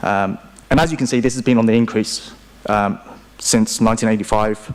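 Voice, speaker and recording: A man with a British accent, medium in pitch, at a fairly quick pace and with fairly even intonation. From UK. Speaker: investment strategist. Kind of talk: conference panel presentation.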